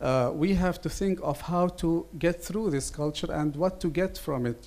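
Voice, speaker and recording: A man with an Arabic accent, dark, mellow tone, moderate pace and ordinary pitch variation. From Lebanon. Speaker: writer and translator. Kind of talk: seminar panel statement.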